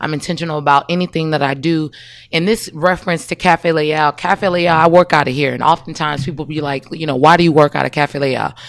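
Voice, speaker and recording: In an American accent, a woman with a very deep, low pitch speaks very fast with fairly even intonation, the sound dry and close with no echo. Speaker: entrepreneur and marketing coach. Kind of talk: casual interview. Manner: loud.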